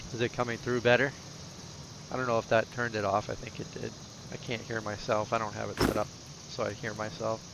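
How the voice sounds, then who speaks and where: Over noticeable background noise, a man with an American accent speaks at a very fast pace with long, frequent pauses, in a medium pitch and monotone, flat intonation. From US Northeast, Boston. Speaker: gaming streamer. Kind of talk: casual chat.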